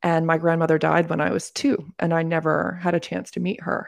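A woman with a fairly low pitch talks at a fairly quick pace, her voice showing vocal fry. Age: 40s. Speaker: coach and academy founder. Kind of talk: casual interview chat.

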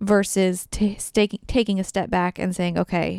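At a moderate pace, a woman speaks in a dry, close recording with no echo. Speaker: podcast co-host, host's wife. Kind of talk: casual chat. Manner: quiet; soft-spoken.

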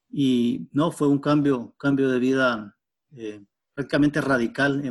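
A man's medium-pitched voice at a fairly slow pace with fairly even intonation. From western Honduras. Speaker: biologist. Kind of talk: interview. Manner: halting, with fillers.

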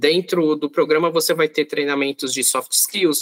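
A man speaks at a fairly high pitch with fairly even intonation. He has an ordinary speaking voice, recorded with a dry, close sound and no echo. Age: 30s. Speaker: corporate planning coordinator. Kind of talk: podcast interview.

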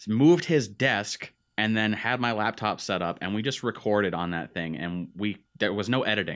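A man with an unremarkable speaking voice talks at a moderate pace, with a fairly low pitch and ordinary pitch variation. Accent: American. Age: 20s. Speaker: podcast host, aspiring content creator. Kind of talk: casual chat.

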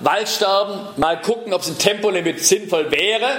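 A man's high voice over noticeable background noise. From southern Germany, Ravensburg (Swabia). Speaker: political scientist and transport expert. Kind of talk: lecture.

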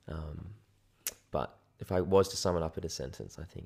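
A man with an Australian accent speaks at a fairly quick pace with fairly even intonation. His very deep, low voice has a dark, mellow tone. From Sydney, Australia. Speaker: photographer. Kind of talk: casual chat.

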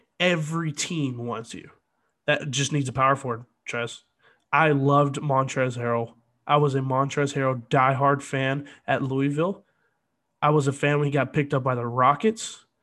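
Over music in the background, a man speaks at a moderate pace with a fairly high pitch. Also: fairly even intonation. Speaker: sports podcast host. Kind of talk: angry sports rant. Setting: solo podcast. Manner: indignant, disappointed, halting.

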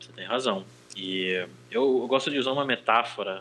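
Medium pitch and ordinary pitch variation from a male speaker. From Brazil. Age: 30s. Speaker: language teacher and interpreter. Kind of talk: casual chat.

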